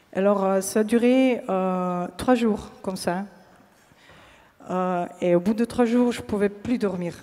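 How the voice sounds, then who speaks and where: Very slowly and with fairly even intonation, a woman with a slight Slovenian accent speaks at a medium pitch. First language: Slovene (speaking French). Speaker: pianist giving a faith testimony. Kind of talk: testimony. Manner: halting, many hesitations.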